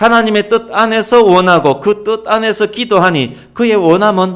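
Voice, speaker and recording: A man talks at a moderate speed, his voice pitched high. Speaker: pastor. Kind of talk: sermon.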